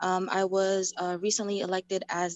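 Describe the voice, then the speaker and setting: The speaker is a woman with an American accent and a medium pitch. She talks at a fairly quick pace. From New York, Queens. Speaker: community stakeholder, education chair. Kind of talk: public Q&A question. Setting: video call. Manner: halting.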